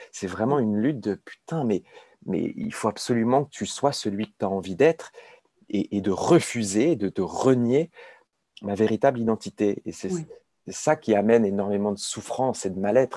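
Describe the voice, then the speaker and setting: With long, frequent pauses at a moderate pace, a man speaks in a dark, mellow tone with ordinary pitch variation, the sound dry and close with no echo. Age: 30s. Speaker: addiction peer expert, author. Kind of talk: interview about personal recovery. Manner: halting, many repetitions and hesitations.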